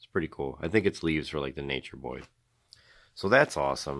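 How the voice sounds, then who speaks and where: A man speaks in a very deep, low pitch. The recording is very clean, with a silent background. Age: 30s. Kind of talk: casual unboxing talk to camera.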